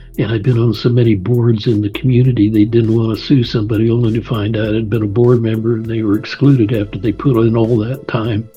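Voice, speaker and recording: A man at medium pitch, very fast and with hardly any pauses, in a monotone, flat delivery over background music. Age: 80s+. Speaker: author and attorney. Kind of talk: radio interview. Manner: halting.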